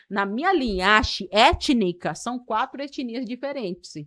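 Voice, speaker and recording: A woman with a bright, sharp tone speaks with lively intonation. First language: Karib (Kalapalo) (speaking Portuguese). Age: 30s. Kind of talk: podcast interview. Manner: hesitant, many fillers.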